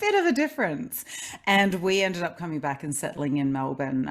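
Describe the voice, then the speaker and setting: There is vocal fry in the voice of a woman talking at a fairly quick pace. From Australia, Adelaide. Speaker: transformational coach. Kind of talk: podcast interview.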